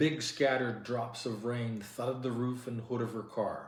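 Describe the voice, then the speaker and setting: A man speaks at a moderate pace. He has a plain, everyday voice. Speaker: audiobook narrator. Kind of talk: novel reading.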